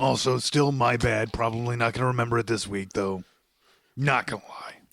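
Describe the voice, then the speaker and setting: Putting on a character voice, a man speaks at medium pitch and a fairly quick pace with fairly even intonation. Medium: audio drama. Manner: casual, rambling.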